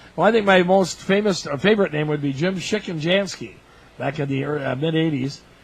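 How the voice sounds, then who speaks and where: With an American accent, a man talks at a fairly quick pace in a fairly high pitch, showing ordinary pitch variation against noticeable background noise. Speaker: public address announcer, former radio disc jockey. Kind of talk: interview answer, storytelling. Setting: press box at a ballpark during a tournament. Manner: friendly, chatty, humorous.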